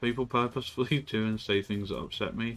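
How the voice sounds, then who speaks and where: Fairly quick speech from a man with a British accent and fairly even intonation, with music in the background. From Britain. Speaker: streamer. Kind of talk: casual chat. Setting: live stream.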